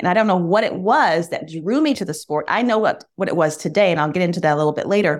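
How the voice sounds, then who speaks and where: Talking at a very fast pace, a woman with an American accent uses lively intonation. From US Midwest (Michigan). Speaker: former TV news anchor, bull owner. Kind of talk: interview.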